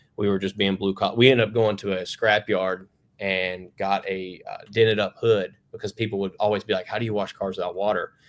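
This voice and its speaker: A man talks at a fairly quick pace with a Western North Carolina accent. His pitch is fairly low and his intonation monotone and flat. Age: 30s. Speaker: plumbing company founder. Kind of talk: podcast interview. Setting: remote video call. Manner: casual, many fillers.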